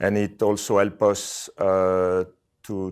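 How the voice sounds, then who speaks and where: The background is quiet. A man speaks in a very deep, low voice. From Switzerland. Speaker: corporate real property manager. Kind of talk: interview. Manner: halting, many fillers. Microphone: webcam.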